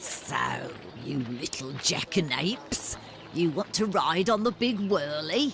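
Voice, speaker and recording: Over clear background noise, a man puts on a high character voice, speaking at a fairly slow pace with very wide pitch swings. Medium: video game.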